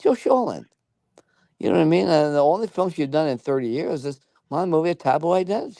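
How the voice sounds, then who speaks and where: Full of lively intonation and an animated tone, a man speaks at a very fast pace. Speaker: screenwriter and former talk show host. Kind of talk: casual interview chat. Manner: animated, repetitive.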